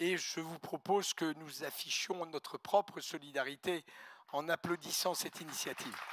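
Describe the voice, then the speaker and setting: At a fairly slow pace, the voice has a bright, sharp tone and fairly even intonation, with a dry, close sound and no echo. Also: man. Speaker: postal company executive. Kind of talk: ceremonial speech. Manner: formal.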